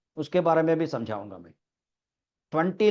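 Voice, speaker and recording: A man with a Telangana accent speaks in a fairly high voice with a dark, mellow tone. The background is quiet. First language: Telugu (speaking Hindi). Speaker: English teacher. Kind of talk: online class lecture.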